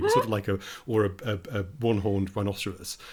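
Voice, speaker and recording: This man's voice sits fairly low in pitch. It comes across somewhat breathy. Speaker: game designer. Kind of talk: podcast conversation.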